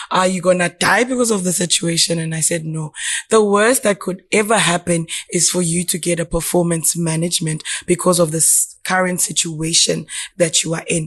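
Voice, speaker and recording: Her fairly low, somewhat breathy voice holds fairly even intonation as the woman talks at a moderate pace. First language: not English. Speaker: podcast guest. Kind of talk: casual chat.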